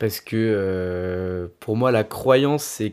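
The recording is very clean, the background silent. A man's medium-pitched voice varies in pitch in an ordinary way. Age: 20s. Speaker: illustrator. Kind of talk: interview. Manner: halting, many hesitations.

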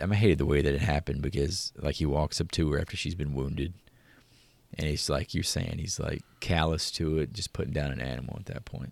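With an American accent and vocal fry, a man speaks at a very deep, low pitch and a fairly quick pace. His pitch variation is ordinary, and the recording is very clean with a silent background. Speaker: podcast host. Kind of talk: casual banter podcast.

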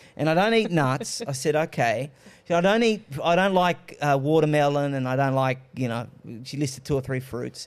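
The speaker has an Australian accent and a fairly quick pace. The intonation is lively. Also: man. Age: 30s. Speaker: political commentator. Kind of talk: panel discussion.

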